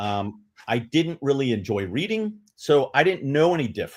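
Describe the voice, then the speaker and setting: In a plain, everyday voice, a man with an American accent talks at a moderate pace with lively intonation on a very clean recording with a silent background. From New York City. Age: 60s. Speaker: retired law enforcement officer, literacy advocate. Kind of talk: interview.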